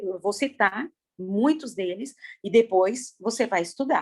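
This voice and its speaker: A woman's fairly high-pitched voice moves with lively intonation. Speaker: preacher. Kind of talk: sermon. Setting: video call. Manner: animated.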